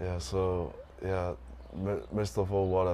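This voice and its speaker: In a Tongan accent, a man talks at a fairly slow pace in a very deep, low pitch with a dark, mellow tone. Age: 20s. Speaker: environmental scientist. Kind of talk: interview. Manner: halting.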